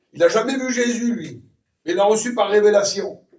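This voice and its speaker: A man is speaking. His voice sits high for a man. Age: 60s. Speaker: preacher. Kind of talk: sermon.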